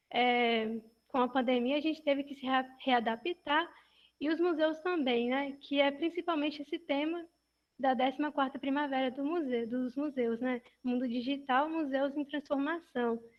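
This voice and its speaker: Keeping a moderate pace, a woman speaks with a high pitch and fairly even intonation. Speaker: museum project intern. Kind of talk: prepared talk in video chat. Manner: soft-spoken.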